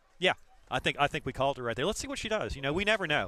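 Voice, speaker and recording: The man's voice sits fairly high and has a bright, sharp tone. He sounds animated. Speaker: sports commentator. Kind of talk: live commentary. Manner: loud.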